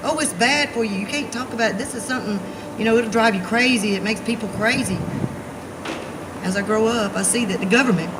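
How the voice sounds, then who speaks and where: In an Alabama accent, a woman with a fairly high pitch talks at a fairly quick pace, with audible room echo and noticeable background noise. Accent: Southern US (Alabama). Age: 40s. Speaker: activist. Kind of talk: rally speech. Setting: outdoors. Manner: animated.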